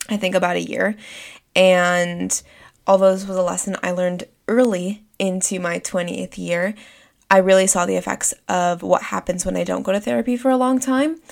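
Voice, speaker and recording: An unremarkable speaking voice from a woman, medium in pitch, at a moderate pace, with ordinary pitch variation. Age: 20s. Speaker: podcast host. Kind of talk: solo podcast monologue.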